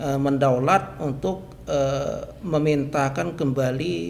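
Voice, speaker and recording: Noticeable background noise runs through the clip. There is audible echo from the room. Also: man. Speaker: customary chief. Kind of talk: podcast interview. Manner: hesitant, frequent filler 'eh'.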